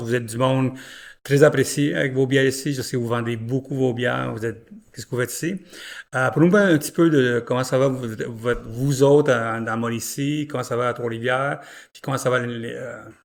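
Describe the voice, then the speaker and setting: The recording is very clean with a silent background. A man talks at a fairly quick pace in a medium pitch, his intonation fairly even but his loudness swinging widely. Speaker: podcast host, beer journalist. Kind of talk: interview podcast. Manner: casual, halting with many fillers.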